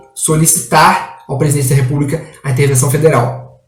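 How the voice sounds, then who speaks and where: A man's fairly high voice with fairly even intonation and audible room echo. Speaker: exam prep law teacher. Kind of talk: online lecture. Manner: halting.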